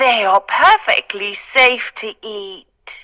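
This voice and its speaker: A woman's put-on character voice, fairly high in pitch, at a very slow pace. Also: ordinary pitch variation. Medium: read story. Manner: wheedling.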